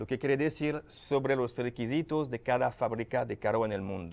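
In a very clean recording with a silent background, a man with a non-native accent speaks at a medium pitch and a fairly slow pace, with ordinary pitch variation. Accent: foreign. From France, Paris. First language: French (speaking Spanish). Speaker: lubricant company manager. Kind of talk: TV interview. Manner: halting.

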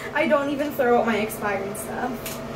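A woman speaks in a high voice at a moderate pace with ordinary pitch variation, and there is noticeable background noise. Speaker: makeup vlogger. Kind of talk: casual makeup tutorial chat. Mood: relaxed, self-deprecating, laughing. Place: home room. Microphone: phone near.

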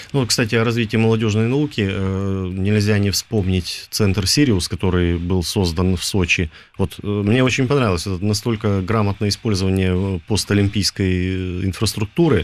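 With ordinary pitch variation, an ordinary speaking voice goes along at a moderate pace. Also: man, fairly low pitch for a man. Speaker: radio host. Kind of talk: casual chat. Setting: studio. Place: studio.

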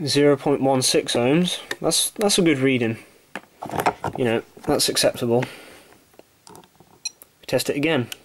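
The speaker goes at a fairly slow pace, broken by long, frequent pauses, with noticeable background noise behind the voice. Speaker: electronics repair hobbyist. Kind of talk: tutorial.

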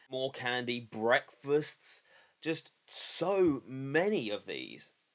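The intonation from this man is lively. Behind him, all is quiet. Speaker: product reviewer. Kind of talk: casual review vlog. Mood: unimpressed, critical. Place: home room. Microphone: webcam.

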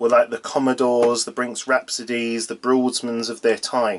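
The speaker is a man. He talks at a moderate pace. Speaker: boat reviewer. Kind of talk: casual vlog chat. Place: boat. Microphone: phone near.

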